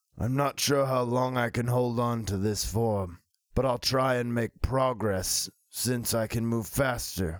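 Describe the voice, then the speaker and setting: A man speaks at a fairly slow pace in a put-on character voice, his pitch sitting in the middle range. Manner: formal, slow, earnest.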